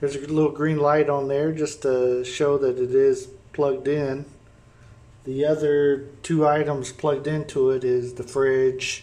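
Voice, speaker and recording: With an American accent, a man speaks at a fairly high pitch and a fairly slow pace. His intonation is monotone and flat. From Indiana, US Midwest. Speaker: vlogger and rental home owner. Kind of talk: tutorial. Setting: indoors at rental house kitchen. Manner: casual, with fillers. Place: kitchen. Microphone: phone near.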